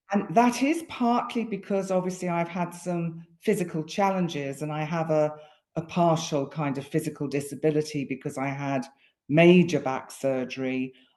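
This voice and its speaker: A woman's very deep, low voice with a dark, mellow tone, ordinary pitch variation and a moderate pace against a quiet background. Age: 60s. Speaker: astrologer. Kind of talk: casual conversation. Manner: halting.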